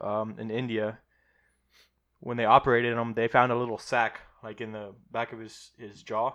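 With a Midwestern American accent, a man talks at a medium pitch and moderate pace in a monotone, flat intonation, with long, frequent pauses and big swings in loudness over a quiet background. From Ohio. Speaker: podcast co-host. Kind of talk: casual chat. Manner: trips over words.

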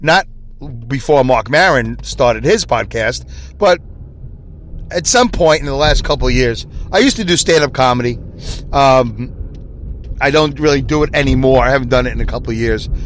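Over noticeable background noise, a man with a Brooklyn accent talks at a moderate pace, leaving long, frequent pauses. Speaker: podcast host. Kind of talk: casual monologue. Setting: in a car, driving. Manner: rambling, improvised.

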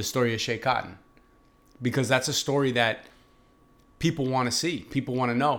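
With a Boston accent, a man speaks at a medium pitch and a fairly quick pace, his intonation fairly even and his pauses long and frequent. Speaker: podcast host. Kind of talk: casual interview. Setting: restaurant.

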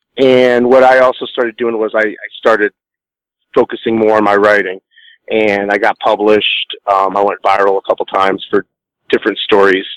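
A man's fairly low, monotone, flat voice at a moderate pace, dry and close with no echo. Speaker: guest. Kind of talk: casual interview chat.

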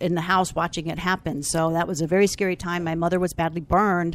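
A normal speaking voice with an American accent at a fairly quick pace. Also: woman. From Falls Church, Virginia. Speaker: marketing company founder. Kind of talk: interview.

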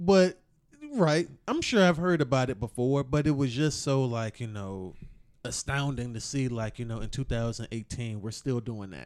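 A man's plain, everyday voice at medium pitch, moderate pace and lively intonation. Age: 30s. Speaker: podcast host. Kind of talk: casual chat.

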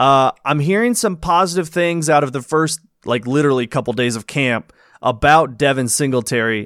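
A man talks at a moderate pace in a plain, everyday voice, fairly high in pitch with lively intonation, in a dry, close sound with no echo. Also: very clean recording, silent background. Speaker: former podcast host. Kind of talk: casual chat.

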